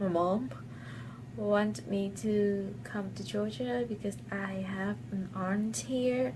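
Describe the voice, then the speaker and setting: Very slowly, a woman speaks at a very deep, low pitch with very wide pitch swings. Audible room echo and noticeable background noise fill the recording. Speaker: university student vlogger. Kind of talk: personal vlog.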